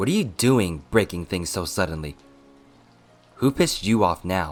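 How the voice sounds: Putting on a character voice, a man speaks at a low pitch while faint music plays in the background. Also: lively intonation, fairly slow pace.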